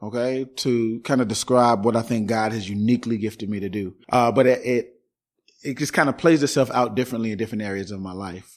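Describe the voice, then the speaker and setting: An American accent marks this man's normal speaking voice, pitched at a medium level, moving at a fairly quick pace with fairly even intonation. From Chicago South Side (Englewood). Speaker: pastor. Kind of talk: interview conversation.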